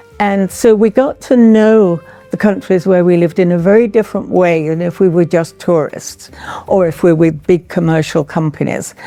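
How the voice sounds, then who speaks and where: A woman's fairly low voice at a moderate pace, ordinary pitch variation, noticeable background noise behind her. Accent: English. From England. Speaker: retired artist. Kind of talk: artist talk.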